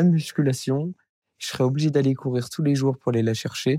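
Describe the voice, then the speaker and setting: The man's voice has a dark, mellow tone and a medium pitch with ordinary variation. He talks at a fairly quick pace in a dry, close sound with no echo. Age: 20s. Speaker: alpinist and ski instructor. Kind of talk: interview. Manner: hesitant, many fillers and repeated words.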